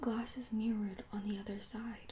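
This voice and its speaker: A soft-spoken voice whispers at a fairly slow pace. Noticeable background noise runs underneath. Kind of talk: ASMR audiobook reading. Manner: whispered, soft-spoken.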